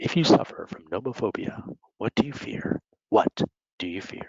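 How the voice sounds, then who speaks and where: Using a put-on character voice, a man speaks at a medium pitch and moderate pace. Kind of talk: showy. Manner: announcer-style, theatrical.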